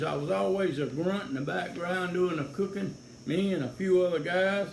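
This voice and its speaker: In a Louisiana accent, a man speaks at a fairly quick pace with lively intonation, and audible room echo surrounds his voice. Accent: Louisiana Southern. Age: 70s. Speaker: sheriff's deputy and political candidate. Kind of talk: campaign video monologue. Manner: folksy, halting with fillers.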